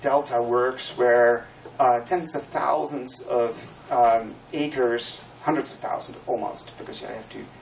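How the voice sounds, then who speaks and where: A man speaks at a moderate pace, and noticeable background noise is present. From Netherlands. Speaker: landscape planner. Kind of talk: public talk presentation.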